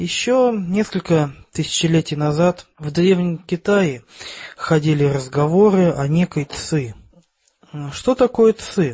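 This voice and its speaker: A man speaks very slowly, high-pitched for a man, with lively intonation. Long pauses come often. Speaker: podcast co-host. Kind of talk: casual chat.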